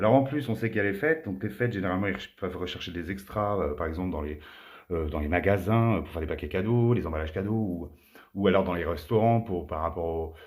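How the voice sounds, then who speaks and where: Audible room echo surrounds a man who talks very fast with a very deep, low pitch and ordinary pitch variation. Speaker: tarot card reader. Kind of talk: tarot reading monologue.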